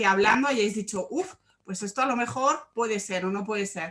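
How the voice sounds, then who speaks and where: Here a woman has a normal speaking voice at a medium pitch. She talks at a moderate pace with ordinary pitch variation. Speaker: sports psychologist. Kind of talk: online workshop talk.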